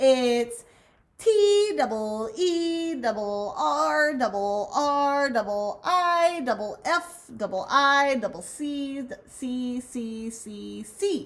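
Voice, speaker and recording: Using a put-on character voice, a woman speaks at a very slow pace in a high pitch with very wide pitch swings. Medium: read story. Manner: repeats every word several times.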